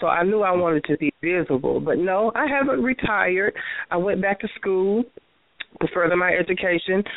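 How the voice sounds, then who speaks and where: A woman with a Southern US accent and fairly low pitch speaks at a moderate pace. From Tennessee. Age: 40s. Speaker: transgender performer. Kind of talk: interview.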